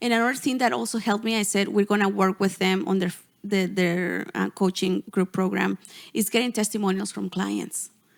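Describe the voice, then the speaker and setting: Speaking at a fairly quick pace with a Spanish accent, a woman with a medium pitch shows vocal fry on a very clean recording with a silent background. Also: ordinary pitch variation. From Mexico, Gulf Coast. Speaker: portrait photographer and business coach. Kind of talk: podcast interview.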